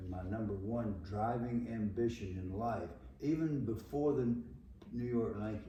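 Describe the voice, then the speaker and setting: With a Southern US accent, a man talks at a fairly low pitch and a moderate pace. His pitch varies in an ordinary way, and the room echo is audible. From US South. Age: 80s+. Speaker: former football player and coach. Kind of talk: interview.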